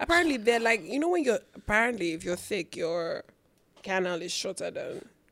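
A woman's fairly high voice at a fairly quick pace, full of very wide pitch swings. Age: 20s. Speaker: podcast co-host. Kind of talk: casual chat.

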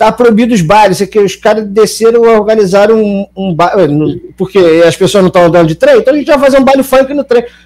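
With lively intonation, a man speaks fairly quickly in a high pitch. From Niterói, Rio de Janeiro state, Brazil. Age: 30s. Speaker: comedic actor. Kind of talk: casual chat.

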